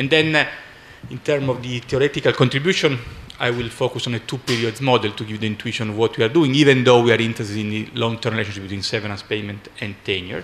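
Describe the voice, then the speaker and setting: A man talks very fast in an Italian accent, at a medium pitch. His pitch varies in an ordinary way, and background noise is noticeable. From Italy. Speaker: economics professor. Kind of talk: conference talk. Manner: halting.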